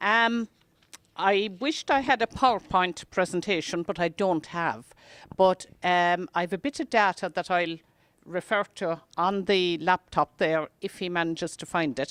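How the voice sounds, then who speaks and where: A woman with an Irish accent speaks at a fairly slow pace with ordinary pitch variation. The sound is dry and close, with no echo. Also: medium pitch for a woman, very clean recording, silent background. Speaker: talk presenter on Irish history. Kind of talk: public talk. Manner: soft-spoken; halting.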